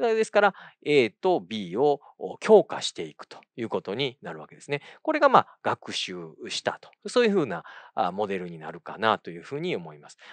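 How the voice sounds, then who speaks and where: Against a quiet background, a man speaks at a moderate pace with very wide pitch swings and big swings in loudness. The sound is dry, with no echo. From Kyoto, Japan; Japan. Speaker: occupational therapist and university lecturer; occupational therapy lecturer. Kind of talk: lecture. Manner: halting, many fillers; polite formal speech. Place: studio. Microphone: lapel.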